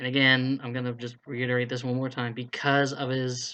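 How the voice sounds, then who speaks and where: This man's tone is bright and sharp, at a medium pitch. He speaks at a moderate pace. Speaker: YouTuber running fan voice-acting casting calls. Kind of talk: casual rant to camera. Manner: stuttering a little; blunt, frustrated.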